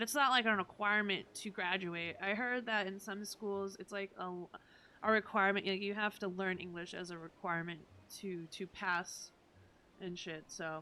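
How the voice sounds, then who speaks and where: A woman speaks with a Massachusetts accent at a medium pitch. Her tone is bright and sharp. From Massachusetts, US. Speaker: video game streamer. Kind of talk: casual live-stream chat.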